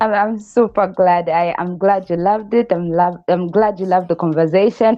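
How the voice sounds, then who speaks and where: A woman speaks at a moderate pace. Her medium pitch keeps a fairly even intonation. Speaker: podcast host. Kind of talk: casual interview chat. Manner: loud.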